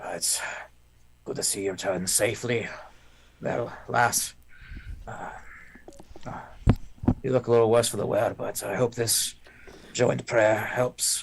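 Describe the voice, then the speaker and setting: Putting on a raspy character voice, a man speaks at a moderate pace and medium pitch with fairly even intonation and long, frequent pauses. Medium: actual play. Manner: warm, fatherly.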